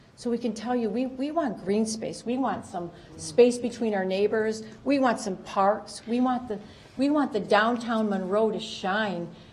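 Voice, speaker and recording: At a fairly slow pace, a woman with a fairly high pitch and ordinary pitch variation speaks amid audible room echo. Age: 60s. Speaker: resident speaking at public comment. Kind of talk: public comment at council meeting. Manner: halting.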